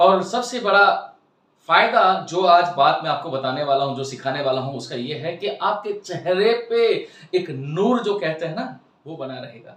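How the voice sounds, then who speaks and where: A high-pitched man's voice with lively intonation and audible room echo. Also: big swings in loudness. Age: 60s. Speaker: spiritual life coach. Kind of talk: lecture.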